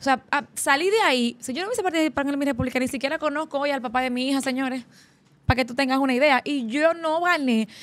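A woman talks at a very fast pace in an animated tone. Her pitch is high. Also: ordinary pitch variation. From Dominican Republic. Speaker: podcast host. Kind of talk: interview. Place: studio. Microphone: studio mic.

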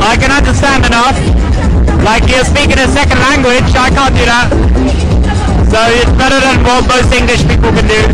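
Over loud background noise, a man talks at a fairly quick pace broken by long, frequent pauses. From England. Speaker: street interviewer. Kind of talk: interview answer. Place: bar.

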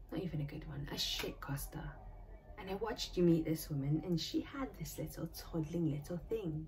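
A woman at a moderate pace, with light background noise. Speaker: drama graduate actor. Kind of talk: performed dramatic monologue. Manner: venomous, accusatory, intense. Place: home room. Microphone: phone near.

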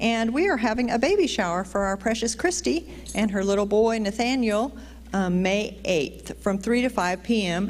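A woman at a moderate pace, pitch varying in an ordinary way. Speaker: church announcer. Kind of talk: church announcements. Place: church. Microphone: handheld.

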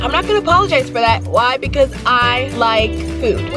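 Over clear background music, a woman talks at a moderate pace with a dry sound and no echo. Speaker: vlogger. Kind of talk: casual vlog chat. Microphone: phone near.

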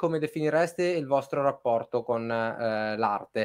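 A normal speaking voice with lively intonation at a moderate pace against a quiet background. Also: man. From northern Italy (Piedmont, Domodossola); Piedmont, Italy. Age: 30s. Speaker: music journalist, live stream host. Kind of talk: live stream interview. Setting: studio, video call with guests. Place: home room. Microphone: webcam.

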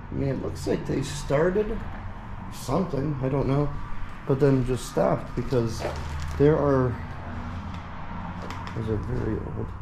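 A man's voice at a fairly slow pace, with ordinary pitch variation, long, frequent pauses and noticeable background noise. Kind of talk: casual vlog chat. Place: empty room. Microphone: phone near.

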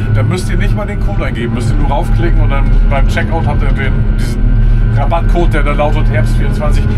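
A man speaks with music playing in the background. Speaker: farmer vlogger. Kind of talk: casual vlog chat. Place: farm machine. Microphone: camera far.

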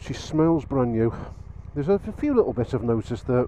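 Light background noise sits under a man's voice, and the sound is dry with no echo. His delivery races along at a very fast pace. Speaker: motorbike vlogger. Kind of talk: casual vlog chat. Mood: pleased, enthusiastic. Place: motorbike. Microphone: helmet.

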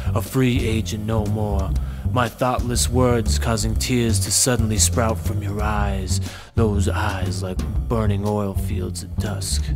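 A man's very deep, low voice at a very slow pace, with lively intonation, very even loudness and music in the background. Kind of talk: poetry reading.

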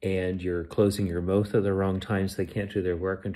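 A man speaks with a very deep, low pitch. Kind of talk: casual vlog rant. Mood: annoyed, indignant. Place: home room. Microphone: phone near.

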